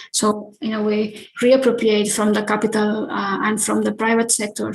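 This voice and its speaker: This woman speaks at a moderate pace with a fairly high pitch. Her intonation stays monotone and flat. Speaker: architect. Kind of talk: lecture. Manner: halting, many filler sounds.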